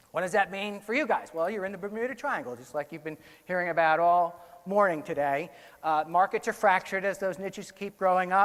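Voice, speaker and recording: A high-pitched man's voice at a fairly quick pace. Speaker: conference speaker, research director. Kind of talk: conference talk. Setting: stage with audience. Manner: fast.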